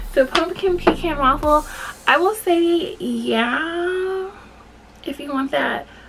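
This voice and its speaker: A woman's voice swings very widely in pitch. Noticeable background noise sits behind it. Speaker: beauty and lifestyle vlogger. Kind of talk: product review. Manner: animated.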